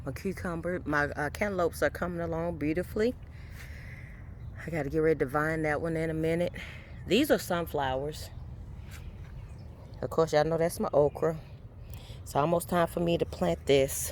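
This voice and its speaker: A moderate pace broken by long, frequent pauses. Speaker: home gardener vlogger. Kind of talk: casual garden tour.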